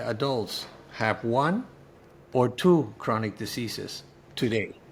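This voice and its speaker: A man with a Spanish accent speaks at a medium pitch with lively intonation. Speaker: cancer survivor and author. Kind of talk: interview testimony. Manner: halting, with many fillers.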